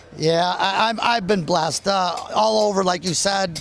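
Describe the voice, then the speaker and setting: A man is speaking. Music plays in the background. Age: 60s. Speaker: race car driver. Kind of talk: interview answer. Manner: hesitant, casual.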